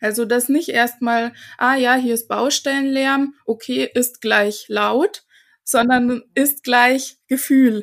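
Very slow female speech, high in pitch with fairly even intonation, in a very clean recording with a silent background. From Germany, small village. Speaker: face yoga teacher. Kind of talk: interview conversation.

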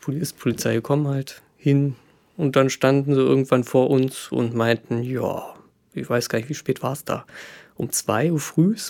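A man's medium-pitched voice at a very slow pace. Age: 30s. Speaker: podcast guest sharing personal story. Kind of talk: casual chat.

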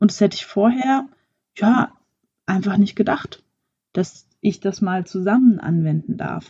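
At a fairly slow pace, a woman with a medium pitch and ordinary pitch variation sounds somewhat breathy, taking long, frequent pauses while her loudness swings widely. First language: French (speaking German). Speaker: podcast host, actress and coach. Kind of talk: solo podcast monologue.

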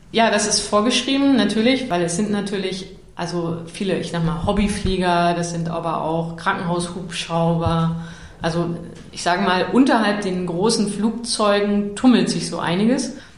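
A woman with a medium pitch speaks at a moderate pace with ordinary pitch variation, amid noticeable background noise and audible room echo. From Lower Saxony, Germany (Salzgitter area). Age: 40s. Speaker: energy expert. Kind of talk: interview.

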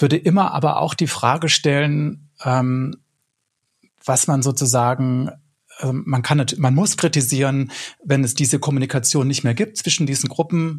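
The voice is somewhat breathy, with ordinary pitch variation and very even loudness. It moves at a fairly slow pace. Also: man. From Swabia, southern Germany. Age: 40s. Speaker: broadcast journalist. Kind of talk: casual panel discussion.

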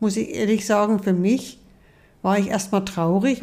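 With an unremarkable speaking voice, a woman talks at a moderate pace and medium pitch, her intonation fairly even. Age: 60s. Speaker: mother of the host. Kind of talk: casual chat. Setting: sitting together in person.

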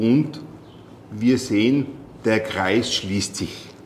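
This is a man with a medium pitch. He speaks at a very slow pace. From Austria, Tyrol. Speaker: sales manager. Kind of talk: interview. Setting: meeting room on location.

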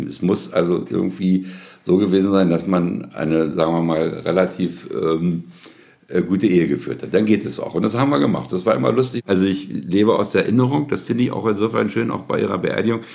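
Talking very fast, a man with a very deep, low voice and vocal fry uses lively intonation. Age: 70s. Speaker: family caregiver, recently widowed. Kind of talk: interview testimony.

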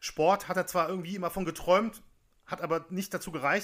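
A man talks at a fairly quick pace in a high pitch with a bright, sharp tone. The recording is very clean, with a silent background. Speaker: podcast co-host, storyteller. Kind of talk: narrated storytelling.

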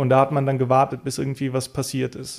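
This man, medium in pitch, speaks at a fairly quick pace. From Bulgaria, Roma minority; raised partly in Mosel region, Germany. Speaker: political scientist and activist. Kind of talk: interview. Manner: hesitant, frequent fillers.

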